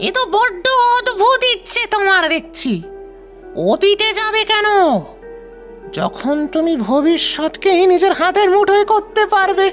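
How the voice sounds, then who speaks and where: Using a put-on character voice at an extremely high pitch, a man speaks fairly slowly while clear music plays in the background. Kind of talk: audio drama dialogue. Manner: slow, deliberate.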